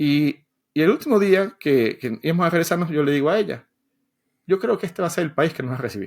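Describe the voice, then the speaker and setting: Very fast speech from a man, high in pitch with lively intonation. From Venezuela. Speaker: software developer and educator. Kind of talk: podcast interview. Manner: halting, many repetitions.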